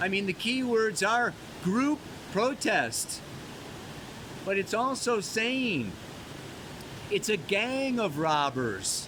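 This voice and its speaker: Over noticeable background noise, a man speaks very slowly in a high voice with lively intonation, very even loudness, and long, frequent pauses. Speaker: astrologer. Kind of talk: weekly astrology forecast. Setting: outdoors by a mountain waterfall. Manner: casual, laid-back; loud, yelling over water.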